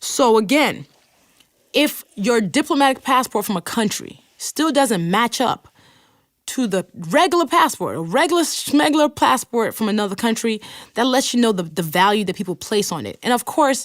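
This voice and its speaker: The voice has an American accent. Its pitch swings very widely. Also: woman, fairly high pitch for a woman, moderate pace. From Nigeria. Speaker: podcast host. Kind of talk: podcast monologue with listener messages read aloud. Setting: recording studio. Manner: casual, conversational.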